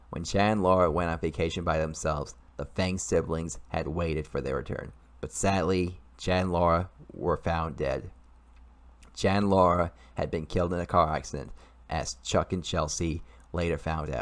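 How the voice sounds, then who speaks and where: A man speaks at a moderate pace in a very deep, low voice with vocal fry and ordinary pitch variation. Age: 20s. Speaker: YouTuber and amateur writer. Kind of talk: reading aloud own story. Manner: halting, repeats and restarts sentences.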